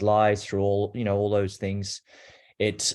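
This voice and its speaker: A man speaks at a moderate pace with an Australian accent. His pitch is fairly low, and the background is quiet. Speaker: abuse survivor and advocate. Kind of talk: personal testimony.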